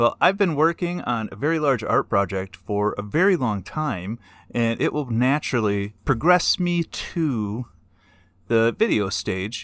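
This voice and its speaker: Recorded very cleanly against a silent background, a man with an American accent speaks fairly slowly at medium pitch, with very wide pitch swings. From northern Michigan, US. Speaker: YouTuber, artist and technology instructor. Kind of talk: casual vlog talk. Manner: conversational.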